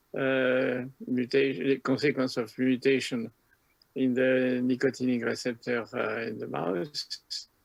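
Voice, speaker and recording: A man with a strong French accent speaks at a fairly slow pace and medium pitch. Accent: French, self-described as strong. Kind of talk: lecture. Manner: halting, many filler sounds.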